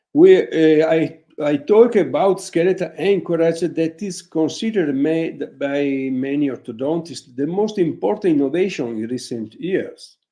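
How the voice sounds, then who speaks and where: A man with an Italian accent, fairly high-pitched, with a dark, mellow tone and lively intonation, at a fairly slow pace with hardly any pauses. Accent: Italian accent, non-native English. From northern Italy, Vicenza. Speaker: orthodontist. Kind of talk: webinar lecture. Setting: online webinar. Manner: halting, with many fillers; reading from notes.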